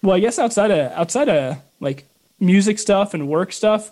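With an American accent, a man talks at a moderate pace with lively intonation. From US Midwest, Chicago area. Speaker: podcast host. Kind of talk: casual chat. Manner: animated.

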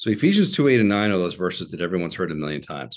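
A man with an American accent talks at a very fast pace in a very deep, low pitch. The background is quiet. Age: 50s. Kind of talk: interview.

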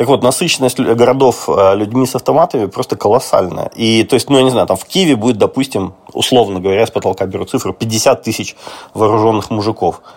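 A man talks at a fairly quick pace with a medium-pitched voice and ordinary pitch variation. Noticeable background noise runs underneath. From Russia. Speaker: journalist. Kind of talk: casual chat.

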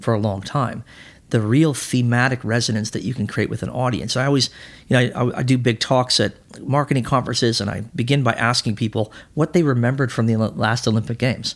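A man with a Canadian accent speaks at a very fast pace, his medium pitch held in fairly even intonation. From Canada (Manitoba, then Alberta). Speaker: sports agent. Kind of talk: casual chat. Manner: halting.

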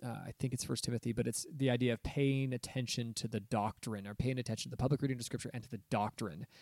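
A man with an American accent talks in a normal speaking voice at medium pitch, his intonation fairly even. The recording is very clean with a silent background and a dry, close sound with no echo. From Southern California. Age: 30s. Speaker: pastor and podcast host. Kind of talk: casual chat.

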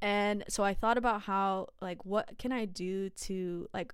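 A woman's medium-pitched voice at a fairly slow pace, with ordinary pitch variation, on a very clean recording with a silent background. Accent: Californian. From California, San Jose. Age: 20s. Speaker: podcast host. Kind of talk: casual monologue.

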